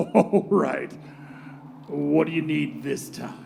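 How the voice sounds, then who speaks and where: A man uses a put-on character voice at a very slow pace over clear background noise. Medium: audio drama. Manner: laid-back, wry.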